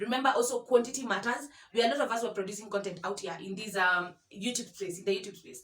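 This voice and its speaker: Over noticeable background noise, a woman speaks very fast at a fairly high pitch with ordinary pitch variation. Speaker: YouTuber. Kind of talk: vlog tutorial. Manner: halting, many fillers and repetitions.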